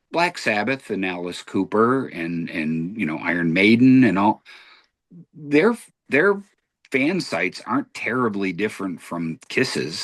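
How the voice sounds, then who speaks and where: Pitch swings very widely as this speaker proceeds at a fairly slow pace. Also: man. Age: 60s. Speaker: podcast host. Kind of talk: casual debate.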